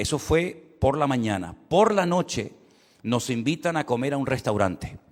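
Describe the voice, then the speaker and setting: Lively intonation from a man, very clean recording, silent background. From Canary Islands, Spain. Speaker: pastor. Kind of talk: sermon. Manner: repetitive, self-interrupting.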